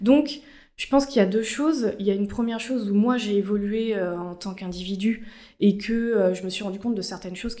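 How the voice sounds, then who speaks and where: A woman with a dark, mellow tone speaks at a medium pitch and a moderate pace, keeping her intonation fairly even. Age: 20s. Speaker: corporate communications officer. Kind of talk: interview.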